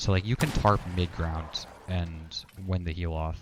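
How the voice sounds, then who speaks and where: This man's voice sits very deep and low. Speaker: gaming coach. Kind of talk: coaching session over gameplay. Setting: live stream call. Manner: fast; casual, filler-heavy.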